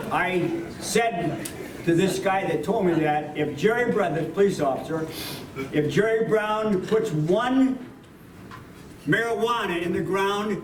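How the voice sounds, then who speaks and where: Over noticeable background noise, a man with a high-pitched voice talks at a fairly slow pace. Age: 80s+. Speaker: war veteran; former mayor. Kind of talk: political rally speech.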